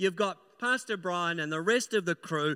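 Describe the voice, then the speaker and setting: A man's raised, projected voice, high-pitched with a bright, sharp tone, at a moderate pace with a dry, close sound and no echo. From New Zealand. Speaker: pastor. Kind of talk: sermon. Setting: church.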